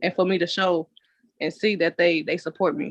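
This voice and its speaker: A woman's ordinary speaking voice at medium pitch with fairly even intonation, in a dry, close sound with no echo. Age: 20s. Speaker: content creator. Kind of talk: interview answer. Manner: casual.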